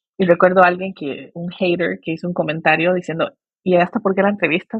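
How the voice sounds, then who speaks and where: Talking very fast, a woman with a fairly low pitch keeps a monotone, flat intonation. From Costa Rica. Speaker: migration expert, NGO founder. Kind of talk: interview conversation.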